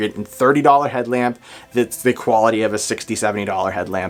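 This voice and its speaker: A man with a New England accent talks at a fairly quick pace in an enthusiastic tone. Noticeable background noise runs behind him. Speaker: gear reviewer. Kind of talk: product review. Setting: outdoors at night. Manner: casual, enthusiastic.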